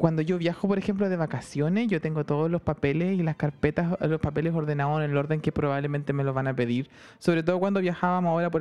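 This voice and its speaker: Speech in a Chilean accent comes at a very fast pace with hardly any pauses. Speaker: podcast co-host. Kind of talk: casual comedic chat. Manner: animated, frequent laughter.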